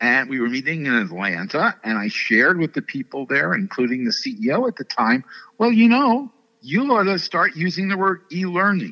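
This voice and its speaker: In an American accent, a man speaks at a moderate pace with a high pitch. His pitch swings are very wide, and the sound is dry and close with no echo. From New York City. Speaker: learning researcher and conference host. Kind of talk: interview.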